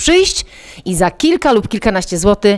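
A woman speaks at a moderate pace. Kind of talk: interview answer. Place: home room. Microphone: lapel.

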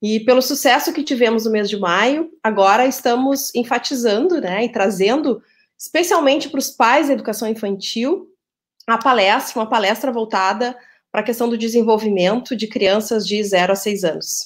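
Over a quiet background, a woman speaks at a moderate pace. Her pitch varies in an ordinary way. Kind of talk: formal welcome speech. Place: home room.

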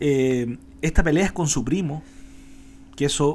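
Over light background noise, a man with a Chilean accent speaks at a fairly slow pace with lively intonation. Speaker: podcast co-host. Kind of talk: casual political chat. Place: home room. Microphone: studio mic.

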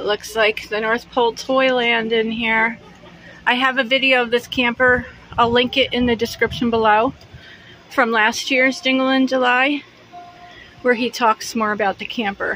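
Her high voice, a woman's, stays monotone and flat at a fairly slow pace, with long, frequent pauses. The sound is dry with no echo, over light background noise. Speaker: vlogger giving a camper tour. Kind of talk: casual vlog chat. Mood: cheerful, amused. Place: home room. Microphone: phone near.

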